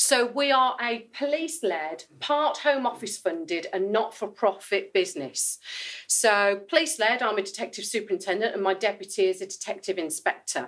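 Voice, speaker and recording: A woman in a strong Brummie accent, with lively intonation at a moderate pace. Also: medium pitch for a woman. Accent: thick Brummie. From Birmingham, West Midlands, England. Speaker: police detective, cyber security speaker. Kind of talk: conference presentation. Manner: casual, chatty.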